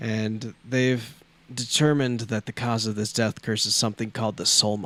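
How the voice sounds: A natural reading voice is heard. Intonation holds fairly even throughout.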